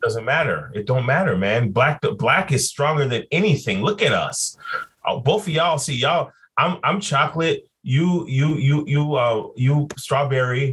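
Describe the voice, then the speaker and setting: An American accent marks this man's unremarkable speaking voice. His pitch is fairly high. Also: fairly slow pace. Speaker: podcast co-host. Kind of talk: casual chat.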